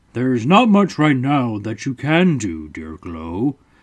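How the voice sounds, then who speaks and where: A man puts on a character voice at medium pitch with very wide pitch swings. He speaks at a fairly slow pace. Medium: read story. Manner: calm, measured.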